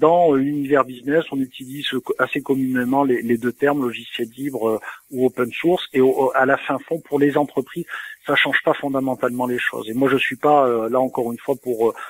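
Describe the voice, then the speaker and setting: A man with a Provençal accent at a fairly high pitch, ordinary pitch variation, a moderate pace, and a dry, close sound with no echo. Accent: southern French (Provence). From southern France, Toulon. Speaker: software company CEO. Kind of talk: interview.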